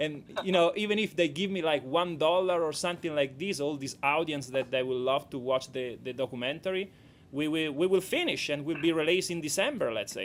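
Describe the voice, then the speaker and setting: With a strong Italian accent, a man speaks in a fairly high voice at a fairly quick pace, with ordinary pitch variation and hardly any pauses. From Italy. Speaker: documentary director. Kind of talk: radio interview. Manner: halting.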